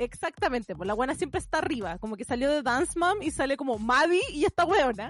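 With very wide pitch swings, a woman speaks in a high voice at a very fast pace, hardly pausing at all. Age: 30s. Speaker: podcast co-host. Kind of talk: casual chat.

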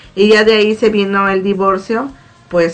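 A woman's fairly slow speech over background music. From Mexico, Morelos. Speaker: church prayer group member. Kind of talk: testimony.

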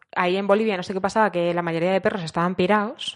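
A woman with a Madrid accent at medium pitch. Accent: Madrid-area Spanish. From Spain, Azuqueca de Henares (Guadalajara). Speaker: tourism worker and animal sanctuary volunteer. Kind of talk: casual chat.

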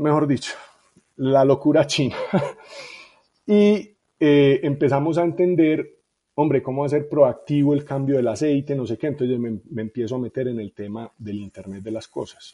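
A man's voice, dark and mellow in tone, shows big swings in loudness and ordinary pitch variation. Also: fairly high pitch for a man, moderate pace. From Colombia, Medellín (Itagüí). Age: 40s. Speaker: tech startup founder and CEO. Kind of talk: interview conversation.

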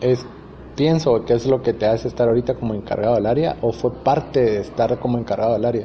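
Amid noticeable background noise, a man of medium pitch talks very fast with very even loudness and fairly even intonation. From Guatemala, Huehuetenango. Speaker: video channel host. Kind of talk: interview. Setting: cupping laboratory. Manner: halting, many repetitions.

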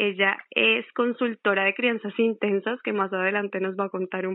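A woman's medium-pitched, normal speaking voice at a moderate pace. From Colombia. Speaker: podcast host. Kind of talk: casual interview.

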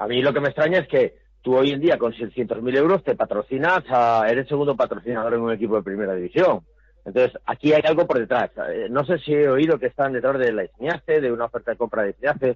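A man's medium-pitched voice races along very fast, its pitch varying in an ordinary way. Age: 50s. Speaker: football club commentator. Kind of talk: casual chat.

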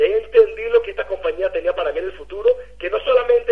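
A man speaks over noticeable background noise. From Venezuela. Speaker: network marketing leader. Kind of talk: motivational testimony.

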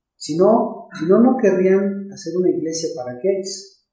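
A man with a high pitch talks at a very slow pace, his tone dark and mellow with lively intonation. Audible room echo surrounds the voice. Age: 50s. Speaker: pastor. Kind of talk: casual chat. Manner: halting.

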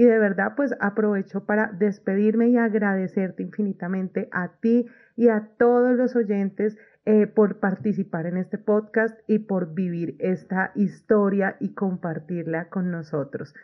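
A woman speaks at a fairly slow pace in an ordinary speaking voice, her medium pitch showing ordinary pitch variation. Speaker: study abroad consultant hosting podcast. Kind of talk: interview.

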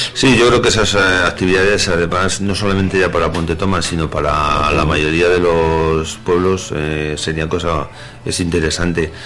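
There is noticeable background noise and audible room echo. A man with a very deep, low pitch speaks at a moderate pace with fairly even intonation. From Madrid, Spain. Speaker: village mayor. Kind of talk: radio interview. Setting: radio studio. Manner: hesitant with fillers.

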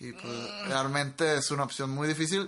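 A man's medium-pitched voice, bright and sharp in tone, at a fairly slow pace. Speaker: podcast co-host, engineering graduate. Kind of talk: casual chat. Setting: home studio in a bedroom. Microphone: cheap microphones into a laptop.

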